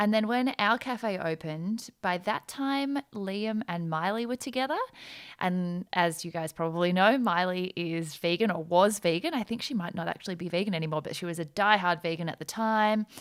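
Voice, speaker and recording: A woman speaks in an Australian accent at a medium pitch. Her pace is moderate and her pitch variation ordinary. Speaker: entrepreneur, former lawyer, podcast guest. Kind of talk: casual chat.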